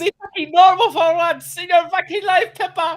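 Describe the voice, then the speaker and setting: A shrill, put-on character voice at an extremely high pitch, with a non-native accent and a moderate pace. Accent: foreign. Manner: exasperated.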